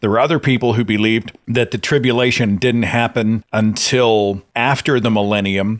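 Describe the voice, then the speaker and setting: A man with an American accent and a plain, everyday voice, medium in pitch, at a moderate pace with fairly even intonation, very even loudness and hardly any pauses. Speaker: podcast host. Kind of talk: casual call-in talk show.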